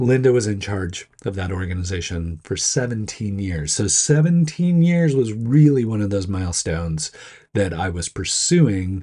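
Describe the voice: A dark, mellow tone with a slightly husky edge, fairly slow pace and ordinary pitch variation, in a very clean recording with a silent background. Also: man, fairly low pitch for a man.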